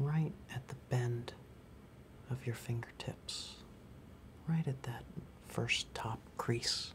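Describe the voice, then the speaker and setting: A man whispers at a very slow pace. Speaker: music store demonstrator. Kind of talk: tutorial. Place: shop.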